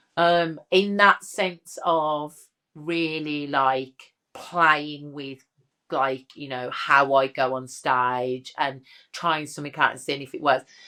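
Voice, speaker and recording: Speaking very slowly with a Birmingham accent, a woman uses a very deep, low pitch and a bright, sharp tone, her loudness swinging widely, on a very clean recording with a silent background. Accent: Brummie. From Birmingham, English Midlands. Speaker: drag king and comedian. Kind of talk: interview chat. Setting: studio sofa. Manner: animated.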